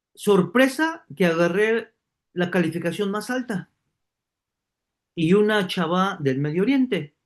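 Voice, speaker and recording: A man's high voice rises and falls in a lively way, his fairly slow delivery broken by long, frequent pauses. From Mexico City. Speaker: online course teacher. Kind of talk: online class, personal story. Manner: hesitant with fillers.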